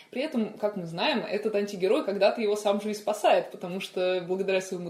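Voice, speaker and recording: A woman speaks at a medium pitch with noticeable background noise. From Moscow, Russia. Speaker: children's fantasy author. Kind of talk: casual chat. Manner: animated.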